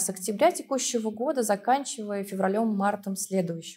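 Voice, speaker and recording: Lively intonation comes through at a moderate pace against a quiet background. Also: woman. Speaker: laboratory head. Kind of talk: expert interview. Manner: formal. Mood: calm, professional. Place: studio.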